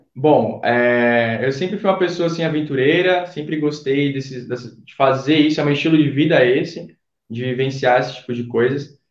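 In a plain, everyday voice, a man speaks at a fairly high pitch and moderate pace, with ordinary pitch variation and big swings in loudness. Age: 20s. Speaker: photographer, former student. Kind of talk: casual interview, travel story.

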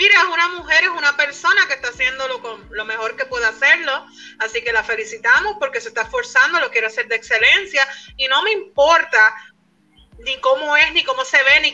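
Projecting her voice at an extremely high pitch, a woman talks at a fairly quick pace with a bright, sharp tone and very wide pitch swings. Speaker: podcast co-host. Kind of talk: casual chat. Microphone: connection dropped.

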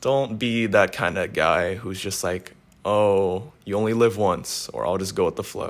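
An ordinary speaking voice comes from a man at a fairly low pitch, with ordinary pitch variation and a fairly slow pace, in a very clean recording with a silent background. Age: young. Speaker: motivational podcaster. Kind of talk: solo motivational talk. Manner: casual.

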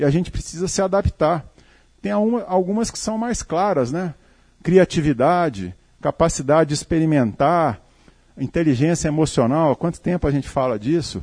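A man speaks with a plain, everyday voice. His pitch is fairly high. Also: moderate pace. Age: 50s. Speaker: company CEO. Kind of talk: talk to live audience. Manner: conversational, informal.

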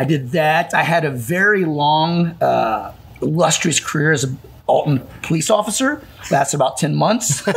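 Noticeable background noise accompanies a man with a Midwestern American accent whose fairly high voice, lively intonation and very even loudness hold a moderate pace. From Illinois, Calhoun County. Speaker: gym owner. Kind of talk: casual chat.

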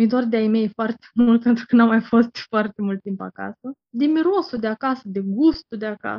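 A woman's normal speaking voice, fairly high in pitch, with ordinary pitch variation. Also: moderate pace. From Moldova. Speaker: interviewee. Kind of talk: casual interview.

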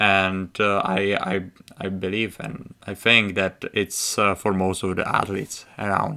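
Fairly low-pitched and bright, sharp in tone, a man with a Czech accent speaks fairly slowly with monotone, flat intonation. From Czech Republic. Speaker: college hockey player, podcast host. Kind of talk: casual chat. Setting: home. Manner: halting, with many fillers.

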